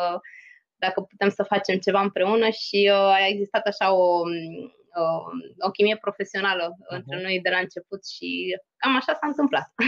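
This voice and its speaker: An ordinary speaking voice from a woman at a medium pitch, with ordinary pitch variation and a moderate pace, in a dry, close sound with no echo. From Romania, Craiova. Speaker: EU policy advisor. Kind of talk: interview.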